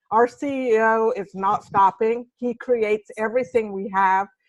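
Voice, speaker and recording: A woman's fairly high voice, fairly even in intonation, with a dry, close sound and no echo. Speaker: CBD seller. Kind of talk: testimony. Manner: halting.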